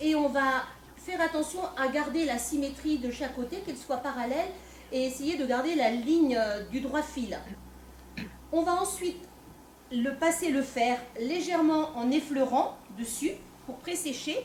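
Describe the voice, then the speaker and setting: A loud woman with a high pitch speaks with long, frequent pauses, and the room echo is audible. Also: ordinary pitch variation, fairly slow pace. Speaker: folk dance group member presenting costume. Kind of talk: live presentation to an audience. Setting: stage with audience, no microphone. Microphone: no microphone, speaking unamplified.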